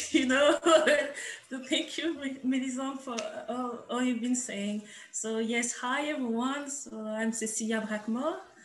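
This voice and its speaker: In a French accent, a woman speaks fairly slowly at a high pitch, with audible room echo. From France. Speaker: artist and curator. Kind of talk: casual introduction on video call. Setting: video call.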